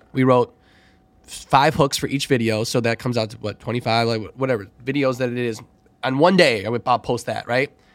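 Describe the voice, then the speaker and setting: Fairly quick and marked by big swings in loudness, a man with an ordinary speaking voice talks at medium pitch with fairly even intonation. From Chicago. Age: 30s. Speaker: DJ and former teacher. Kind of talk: casual chat.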